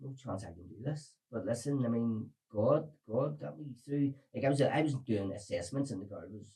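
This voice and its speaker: With a Belfast accent, a man talks at a moderate pace and medium pitch, his dark, mellow tone somewhat breathy, his intonation lively and his loudness swinging widely. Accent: Belfast Northern Irish. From Northern Ireland, Belfast. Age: 40s. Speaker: recovered addict sharing his story. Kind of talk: podcast interview testimony.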